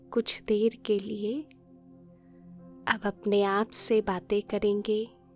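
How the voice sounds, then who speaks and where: Over music in the background, a woman speaks in a calm tone at medium pitch with fairly even intonation, the sound dry and close with no echo. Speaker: meditation guide. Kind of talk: guided meditation commentary. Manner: slow, calm.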